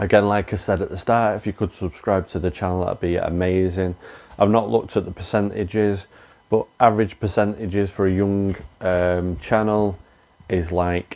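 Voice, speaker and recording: Speaking with an English accent at a moderate pace, a man keeps a very deep, low pitch and fairly even intonation. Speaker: reseller YouTuber. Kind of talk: casual vlog outro. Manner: filler-heavy casual.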